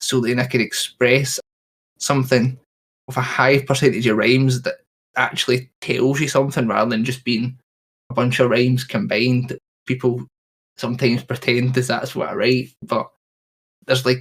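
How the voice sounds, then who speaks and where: The voice is somewhat breathy, with fairly even intonation at a moderate pace. Long pauses come frequently. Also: man, medium pitch for a man. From Scotland. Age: 20s. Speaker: rapper. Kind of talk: interview.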